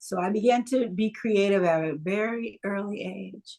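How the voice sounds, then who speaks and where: A woman talks in a plain, everyday voice, medium in pitch with ordinary pitch variation. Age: 60s. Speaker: creative writer and producer. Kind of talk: interview.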